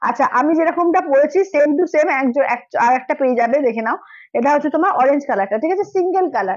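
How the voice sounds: Fast and with lively intonation, a woman speaks at a high pitch with a slightly mellow tone.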